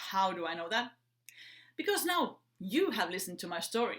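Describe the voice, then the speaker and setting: A woman with a Finnish accent, lively intonation and a moderate pace. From Finland. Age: 30s. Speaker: entrepreneur. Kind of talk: prepared talk. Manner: upbeat.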